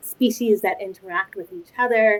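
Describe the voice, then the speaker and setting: A speaker with an American accent talks at a moderate pace. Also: woman. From New York City, Spanish Harlem. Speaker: ecology researcher. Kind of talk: interview. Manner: hesitant, many fillers.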